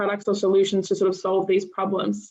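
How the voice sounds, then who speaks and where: A woman of medium pitch speaks with an Australian accent in a monotone, flat intonation. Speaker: menstrual health expert. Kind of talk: panel discussion.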